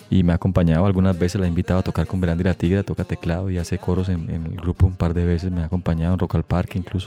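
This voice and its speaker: Very deep, low-pitched male voice at a very fast pace, with hardly any pauses, monotone, flat intonation, and a dry, close sound with no echo. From Santander, Colombia (Bucaramanga). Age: 40s. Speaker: musician. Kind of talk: interview. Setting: studio.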